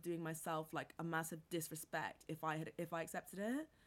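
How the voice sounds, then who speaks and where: Speaking with an American accent, the woman has a fairly low pitch. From international upbringing: New York, Caribbean, Bangkok, then England. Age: 20s. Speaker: entrepreneur. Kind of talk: casual interview chat. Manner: animated, many fillers and laughs.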